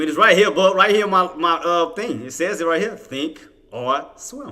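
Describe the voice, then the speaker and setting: A man speaks with a high-pitched voice. Noticeable background noise runs underneath. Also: lively intonation, moderate pace, big swings in loudness. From Louisiana. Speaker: day trader and livestream host. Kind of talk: live trading commentary with chat. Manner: casual, conversational.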